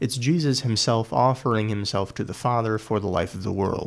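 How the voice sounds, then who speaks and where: Here a man with a plain, everyday voice talks at a moderate pace, medium in pitch with ordinary pitch variation. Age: 20s. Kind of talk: solo commentary.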